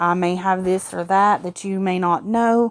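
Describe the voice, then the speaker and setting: A woman with a Southern US accent, medium pitch and fairly even intonation. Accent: southern US drawl. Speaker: animal welfare youtuber. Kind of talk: casual vlog update. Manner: rambling with many fillers.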